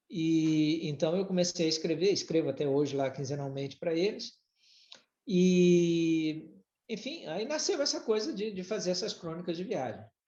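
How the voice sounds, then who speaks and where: This speaker has a slight Brazilian accent, lively intonation, and a moderate pace. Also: man, high pitch for a man. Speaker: former executive and writer. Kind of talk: podcast interview. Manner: halting, many repetitions.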